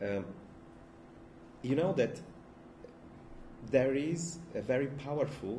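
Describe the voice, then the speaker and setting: With a Bulgarian accent, a man speaks in a somewhat breathy, dark, mellow voice. His intonation is lively, and the room echo is audible. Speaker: philosopher. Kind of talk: lecture. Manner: halting, many fillers and restarts.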